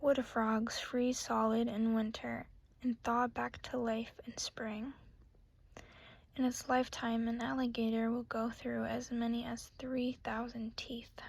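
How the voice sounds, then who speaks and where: The voice is soft-spoken, fairly slow and flat in a monotone. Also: woman, fairly high pitch for a woman. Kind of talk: ASMR book reading of trivia facts.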